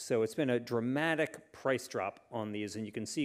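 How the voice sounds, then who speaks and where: A man at medium pitch and a fairly slow pace, a plain, everyday voice, against a quiet background. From United States. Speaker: author; panel expert. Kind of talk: panel discussion. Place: hall. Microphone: handheld.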